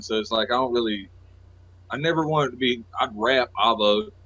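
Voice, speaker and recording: This man has a Southern US accent. His pitch is medium and his pace moderate. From North Carolina. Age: 30s. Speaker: rapper and producer. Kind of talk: casual interview.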